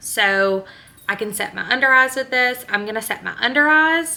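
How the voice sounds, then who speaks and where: A woman's bright, sharp tone in a Louisiana accent, at a fairly slow pace. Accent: Southern US (Louisiana). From northern Louisiana (Benton). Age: 20s. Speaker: beauty vlogger and teacher. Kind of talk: makeup tutorial. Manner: casual, chatty.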